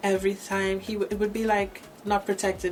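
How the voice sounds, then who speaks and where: Her voice sits at a medium pitch, with noticeable background noise behind it. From Trinidad and Tobago. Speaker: gospel singer. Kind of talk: interview. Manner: halting.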